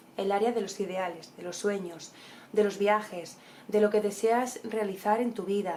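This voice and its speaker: A woman's medium-pitched voice at a fairly slow pace, with noticeable background noise. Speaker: tarot reader. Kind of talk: horoscope reading. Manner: animated.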